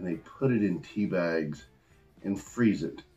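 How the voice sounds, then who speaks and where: Over faint background music, a man speaks at a very slow pace in a fairly low voice. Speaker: beer reviewer. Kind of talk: casual review vlog. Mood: enthusiastic, upbeat. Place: home room.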